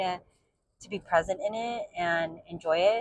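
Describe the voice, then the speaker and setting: Very slow speech from a woman, with ordinary pitch variation. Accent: American. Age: 40s. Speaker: book vlogger. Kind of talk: casual monologue vlog. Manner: rambling with many fillers (um, like).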